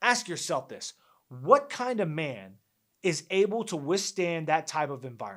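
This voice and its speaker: In a very clean recording with a silent background, a man speaks at a moderate pace and high pitch, with very wide pitch swings and big swings in loudness. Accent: American. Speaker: army veteran and sports podcast host. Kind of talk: opinion monologue podcast. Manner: emphatic.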